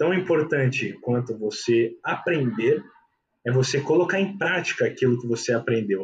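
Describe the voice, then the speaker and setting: A man with a medium pitch speaks at a fairly slow pace, somewhat breathy, with lively intonation. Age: 20s. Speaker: investment consultant. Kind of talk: casual chat.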